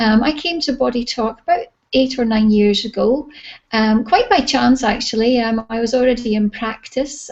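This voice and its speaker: A woman with a Scottish accent and a fairly high pitch speaks at a moderate pace with fairly even intonation. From Scotland. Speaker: holistic therapy practitioner and teacher. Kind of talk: interview. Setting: video call.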